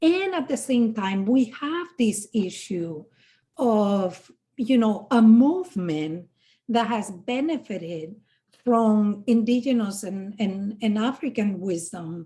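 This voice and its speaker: Very slowly, a woman speaks in a fairly high, somewhat breathy voice with a dark, mellow tone and lively intonation. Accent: Spanish. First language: Spanish. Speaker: podcast host. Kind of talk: interview conversation. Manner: hesitant, many fillers.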